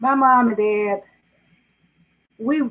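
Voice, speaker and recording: Ordinary pitch variation in a Southern US accent. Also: woman. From US South, South Carolina (Greenville County). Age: 80s+. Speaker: author. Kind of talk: interview.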